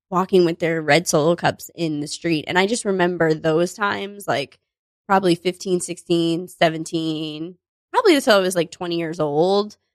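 In an unremarkable speaking voice, a woman with an American accent talks at a moderate pace with a fairly low pitch and ordinary pitch variation, the sound dry and close with no echo. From US Northeast, Connecticut beach town near New Haven. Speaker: comedian and improviser. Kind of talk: casual chat.

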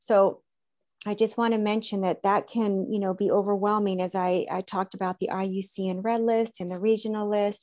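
A woman with an American accent speaks at a fairly quick pace, her medium-pitched voice dark and mellow in tone and monotone, with flat intonation. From Southern California. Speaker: conservation biologist and aromatherapist. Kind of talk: interview conversation.

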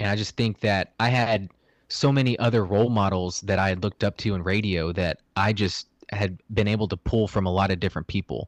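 A man talks in an ordinary speaking voice at a fairly low pitch, keeping a fairly quick pace and fairly even intonation. The recording is very clean with a silent background and a dry, close sound with no echo. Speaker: former sports radio producer. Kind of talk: casual chat.

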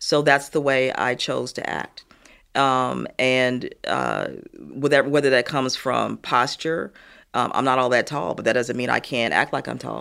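Here a woman talks at a fairly slow pace with a Midwestern American accent. The recording is very clean, with a silent background. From US Midwest, Gary, Indiana. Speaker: retired corporate executive. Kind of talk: interview.

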